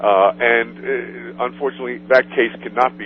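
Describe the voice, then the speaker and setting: Over music in the background, a man with a fairly low voice speaks at a moderate pace. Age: 60s. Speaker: author. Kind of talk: radio interview. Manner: halting.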